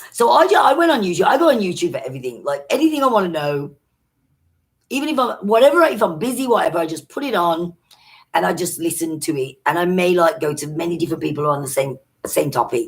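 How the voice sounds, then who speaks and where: Someone speaks at a very fast pace with an English accent. The pitch swings very widely. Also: woman, fairly low pitch for a woman. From Britain. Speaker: social media vlogger. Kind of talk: live stream chat. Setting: live stream.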